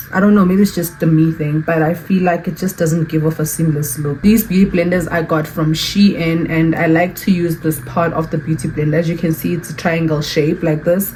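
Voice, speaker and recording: Over noticeable background noise, a woman speaks at a fairly low pitch. She goes at a fairly quick pace with hardly any pauses and fairly even intonation. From South Africa. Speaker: beauty YouTuber. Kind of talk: makeup tutorial. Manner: fast.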